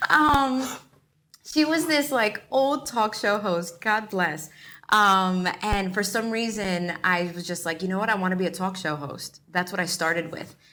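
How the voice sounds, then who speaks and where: A woman in a New York accent, medium pitch, bright and sharp tone, lively intonation, fairly slow pace. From New York, the Bronx. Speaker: actor and filmmaker. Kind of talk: interview. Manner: casual, chatty.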